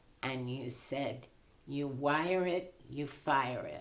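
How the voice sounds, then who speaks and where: A woman's very deep, low voice with audible room echo. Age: 80s+. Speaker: patient. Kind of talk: casual chat.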